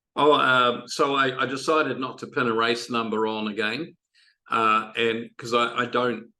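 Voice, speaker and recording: A man with a New Zealand accent, fairly slow, bright and sharp in tone, with monotone, flat intonation. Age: 60s. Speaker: triathlon coach. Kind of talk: podcast interview. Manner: halting, many fillers.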